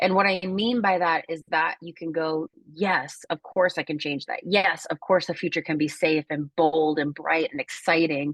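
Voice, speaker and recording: A woman speaks in an unremarkable speaking voice, fairly low in pitch, with fairly even intonation at a moderate pace and hardly any pauses. The sound is dry and close with no echo, over a quiet background. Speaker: wellbeing coach. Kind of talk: workshop talk on a group video call.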